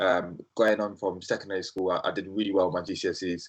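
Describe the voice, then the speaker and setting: A man at a fairly quick pace with a South London accent. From South London, England (Brixton). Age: 20s. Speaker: startup founder. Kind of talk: interview. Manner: casual with frequent fillers.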